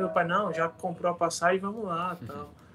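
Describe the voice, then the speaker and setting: Noticeable background noise sits behind a man whose voice is high in pitch. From Brazil, Paraíba (Campina Grande). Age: 30s. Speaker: former professional volleyball player, business administrator. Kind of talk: casual interview chat.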